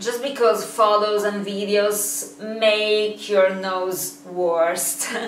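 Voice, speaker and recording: A woman with an Italian accent and medium pitch speaks at a very slow pace. Audible room echo and noticeable background noise fill the recording. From Italy. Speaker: YouTuber and model. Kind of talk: vlog, casual talk to camera. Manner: halting, many fillers.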